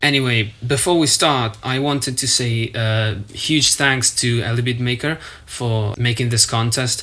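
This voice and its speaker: A non-native accent over noticeable background noise. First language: not English. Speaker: music producer. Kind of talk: tutorial walkthrough.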